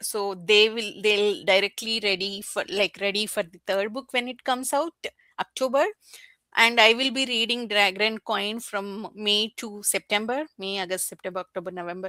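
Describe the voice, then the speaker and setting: A woman speaks at a moderate pace with a fairly high pitch and a bright, sharp tone. The sound is dry and close with no echo, in a very clean recording with a silent background. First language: not English. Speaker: book YouTuber. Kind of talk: casual chat. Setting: livestream. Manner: animated; halting.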